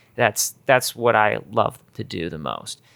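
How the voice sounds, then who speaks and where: The voice carries vocal fry in a dry, close recording with no echo. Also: man. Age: 40s. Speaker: YouTuber and musician. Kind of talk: casual chat. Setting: kitchen at home.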